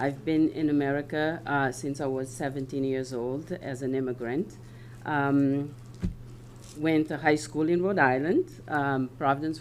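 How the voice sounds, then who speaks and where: A woman speaks at a moderate pace, her pitch very deep and low. Her intonation is fairly even. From West Africa. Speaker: local election candidate. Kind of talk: candidate statement at public forum. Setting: town hall meeting with audience. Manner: hesitant, many fillers.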